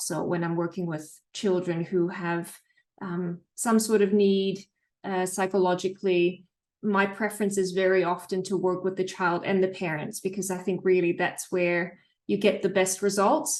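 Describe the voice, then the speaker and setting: A woman with a Dutch accent speaks at a medium pitch and a moderate pace. Her intonation is flat and monotone. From Netherlands. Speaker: psychologist. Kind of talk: interview. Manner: calm.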